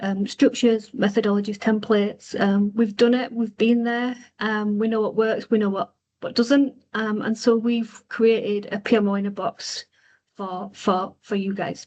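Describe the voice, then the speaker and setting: A woman with a Yorkshire accent speaks at a moderate pace in a fairly high pitch, her intonation monotone and flat. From Yorkshire, Bradford. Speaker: consultancy co-founder, webinar host. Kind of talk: webinar presentation. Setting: online webinar. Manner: hesitant, many fillers.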